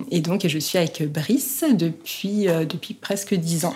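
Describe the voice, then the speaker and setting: A woman with a fairly low pitch and ordinary pitch variation speaks at a very slow pace over noticeable background noise. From France, Haute-Savoie (Annecy). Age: 30s. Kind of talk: testimony. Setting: at home. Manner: hesitant, many fillers.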